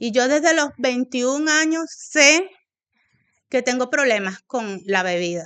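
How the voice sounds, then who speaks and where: Speaking at a very slow pace in a Venezuelan accent, a woman with a high pitch and a bright, sharp tone makes very wide pitch swings against a quiet background. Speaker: AA member sharing story. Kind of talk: testimony. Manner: hesitant, many fillers.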